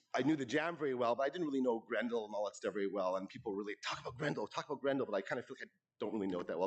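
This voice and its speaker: A loud man talks at a very fast pace with hardly any pauses, his medium pitch showing ordinary variation. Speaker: award presenter speaking for a late friend. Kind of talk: tribute speech at awards ceremony. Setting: stage with audience. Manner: informal, halting.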